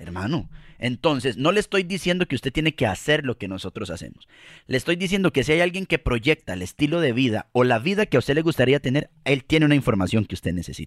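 In a Costa Rican accent, a man speaks very fast with an animated tone, very wide pitch swings and vocal fry, his voice dry and close with no echo on a very clean recording against a silent background. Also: medium pitch for a man. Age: 30s. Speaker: podcast co-host, communicator. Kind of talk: casual chat.

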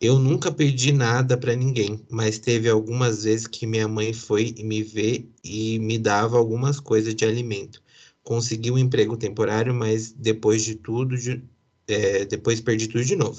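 A man speaks at a moderate pace with a medium pitch. His intonation is flat and monotone. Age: 30s. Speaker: podcast host. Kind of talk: casual chat.

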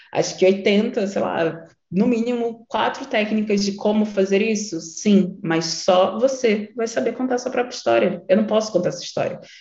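With audible room echo, a woman talks at a medium pitch and a moderate pace with ordinary pitch variation. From Rio de Janeiro, Baixada Fluminense (Nilópolis). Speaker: creative strategist and workshop facilitator. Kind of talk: online workshop lecture.

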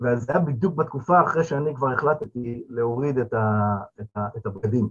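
At a moderate pace, a man speaks in a somewhat breathy voice with lively intonation. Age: 50s. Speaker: returnee to religion, father of eight. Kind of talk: panel discussion. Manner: halting, with fillers.

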